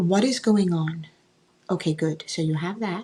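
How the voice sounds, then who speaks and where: With lively intonation at a moderate pace, a woman speaks in a plain, everyday voice. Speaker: author and mentor. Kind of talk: guided visualization.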